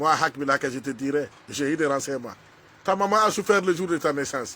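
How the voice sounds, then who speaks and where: A man with a fairly high pitch talks at a fairly quick pace, his tone animated. His voice is bright and sharp, with ordinary pitch variation. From Burkina Faso. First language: a Burkinabe language, not French (speaking French). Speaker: social media commentator. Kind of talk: angry video rant addressed to someone. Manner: halting.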